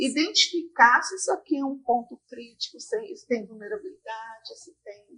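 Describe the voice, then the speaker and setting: This woman's high voice swings very widely in pitch. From Brazil, Brasília. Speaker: talk show host. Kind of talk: interview.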